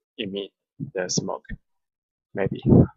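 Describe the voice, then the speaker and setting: A man with a non-native accent in a dry, close sound with no echo. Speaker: 3D software tutorial maker. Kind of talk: tutorial. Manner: halting, many fillers.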